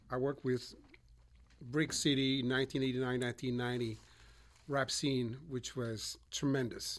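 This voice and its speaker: A man speaks at a very slow pace with long, frequent pauses. His pitch is medium and his intonation is monotone and flat. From Switzerland, Montreux. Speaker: audio engineer and musician. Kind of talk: casual conversation. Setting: recording studio.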